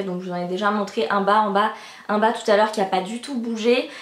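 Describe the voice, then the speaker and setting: Audible room echo surrounds a woman who talks at a fairly quick pace with a fairly high pitch and ordinary pitch variation. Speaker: beauty and fashion youtuber. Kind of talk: casual vlog, product review. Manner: fast; animated.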